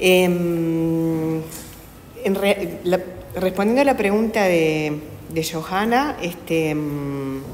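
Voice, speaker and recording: A woman is speaking. Her voice carries audible room echo and noticeable background noise. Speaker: children's book author and illustrator. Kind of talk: panel discussion. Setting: panel talk with live audience in an institute. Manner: quiet, hesitant with many fillers.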